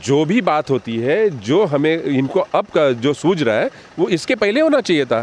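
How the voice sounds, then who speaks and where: A man talks with hardly any pauses in a fairly high pitch. His pitch swings very widely. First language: Marathi (speaking Hindi). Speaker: party spokesperson. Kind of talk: interview. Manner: animated.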